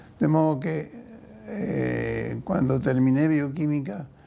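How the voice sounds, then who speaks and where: Amid audible room echo and noticeable background noise, a man speaks at a very slow pace. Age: 80s+. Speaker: biochemist. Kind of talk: testimony. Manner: halting.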